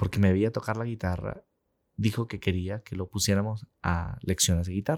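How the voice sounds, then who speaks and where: A man speaks with a dark, mellow tone at a fairly low pitch. The recording is very clean and dry, with a silent background and no echo. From Peru. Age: 40s. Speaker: sales director. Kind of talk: interview conversation.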